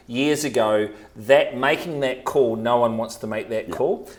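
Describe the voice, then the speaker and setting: Medium male pitch and ordinary variation from a man. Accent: New Zealand. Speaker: real estate agent. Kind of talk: podcast talk, real estate tips.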